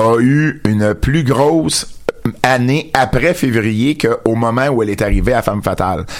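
A man with a Quebec accent, medium pitch and ordinary pitch variation at a fairly slow pace, with noticeable background noise. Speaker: wrestling radio show host. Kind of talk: casual radio chat. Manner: repetitive, stammering restarts.

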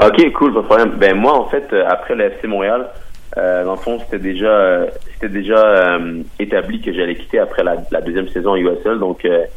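This man speaks at a moderate pace. There is noticeable background noise in the clip. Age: 20s. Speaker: professional soccer player. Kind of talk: interview.

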